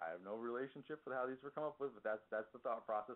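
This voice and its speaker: A man speaks with an American accent. His pitch varies in an ordinary way. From New York. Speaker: software consultant. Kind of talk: presentation. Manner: fast.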